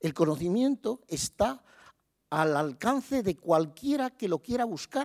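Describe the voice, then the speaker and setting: Against a quiet background, a man speaks at a high pitch with very wide pitch swings. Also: fairly slow pace. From Spain. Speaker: university rector. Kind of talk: ceremonial speech. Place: hall. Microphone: podium.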